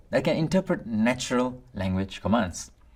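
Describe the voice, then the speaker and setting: At a moderate pace, the speaker talks with a Tamil accent in a very clean recording with a silent background. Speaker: instructor. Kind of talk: lecture. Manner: formal.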